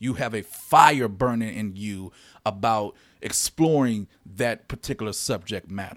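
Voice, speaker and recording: This man has a fairly low pitch, an unremarkable speaking voice and an American accent, talking at a fairly slow pace with ordinary pitch variation. The recording is very clean, with a silent background. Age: 30s. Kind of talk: solo podcast monologue.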